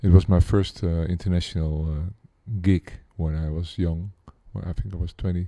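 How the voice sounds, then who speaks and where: In a Dutch accent, the voice has a dark, mellow tone, fairly even intonation and a fairly quick pace, with a dry, close sound with no echo on a very clean recording with a silent background. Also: man. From Netherlands, Amsterdam. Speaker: pianist and composer. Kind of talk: interview. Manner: hesitant, with many fillers.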